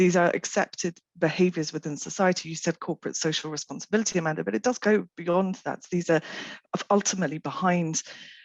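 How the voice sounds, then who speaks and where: A woman's fairly low voice at a very fast pace, with ordinary pitch variation and a dry, close sound with no echo. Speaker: health official. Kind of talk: panel discussion. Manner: loud.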